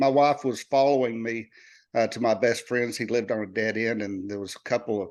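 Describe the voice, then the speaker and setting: The speaker talks at a fairly quick pace with fairly even intonation over a quiet background. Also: man, medium pitch for a man. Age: 60s. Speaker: army veteran and author. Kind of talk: interview. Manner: hesitant, with many fillers.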